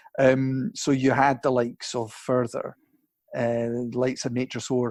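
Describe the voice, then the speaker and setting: A man speaks at a medium pitch, with a dry, close sound free of echo and a quiet background. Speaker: singer in a band. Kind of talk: interview. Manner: halting, many restarts.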